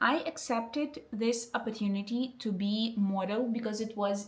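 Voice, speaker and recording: Speaking at a very slow pace, a woman with a Russian accent keeps a fairly even intonation. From eastern Ukraine. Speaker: vlogger and startup founder. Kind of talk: casual vlog, English speaking practice. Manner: halting, with many fillers.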